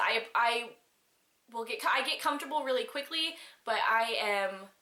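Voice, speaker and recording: Talking at a fairly slow pace, a woman with a fairly high pitch and ordinary pitch variation is heard with audible room echo. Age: 20s. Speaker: video blogger. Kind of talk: vlog letter to a friend. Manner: halting, many restarts.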